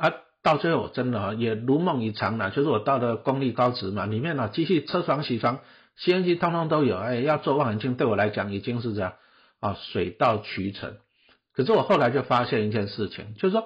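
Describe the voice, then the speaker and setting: Somewhat breathy, a man talks fairly quickly at a medium pitch. His intonation is lively. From Taiwan, Taipei Beitou. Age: 50s. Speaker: podcast host, investment author. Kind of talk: solo talk about his book. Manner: casual, many filler particles.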